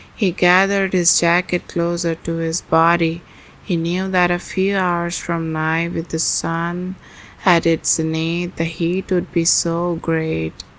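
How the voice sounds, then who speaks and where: Soft-spoken and fairly low in pitch, a woman talks very slowly with monotone, flat intonation. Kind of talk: ASMR book reading.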